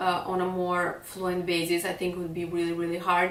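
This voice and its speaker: Medium-pitched speech from a woman in a room with audible echo. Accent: Serbian. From Serbia. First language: Serbian. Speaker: fashion blogger. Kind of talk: vlog monologue. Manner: hesitant.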